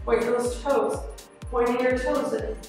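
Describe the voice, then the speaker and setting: A woman speaks in a flat, monotone way with strong room echo. Faint music plays in the background. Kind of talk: workout instruction. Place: gym. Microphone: camera far.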